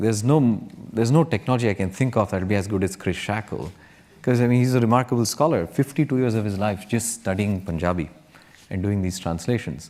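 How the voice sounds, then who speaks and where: A man with a Kannada accent speaks at a fairly low pitch. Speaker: tech entrepreneur. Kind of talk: panel Q&A.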